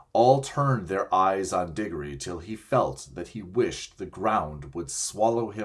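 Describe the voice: Lively intonation in a plain read-aloud delivery.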